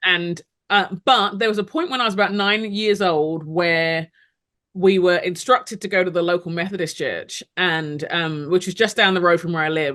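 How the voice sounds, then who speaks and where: A bright, sharp tone in a London accent, with ordinary pitch variation. The pace is moderate and the background quiet. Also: woman, medium pitch for a woman. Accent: British (London). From London, England (Nigerian parents). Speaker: ministry leader, speaker and author. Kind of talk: interview testimony. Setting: podcast interview.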